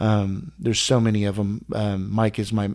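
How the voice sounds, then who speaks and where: Over a very clean, silent background, a man with an unremarkable speaking voice talks at a fairly slow pace in a fairly low pitch. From Texas. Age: 50s. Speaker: collector. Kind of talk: casual interview. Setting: in his home collection room.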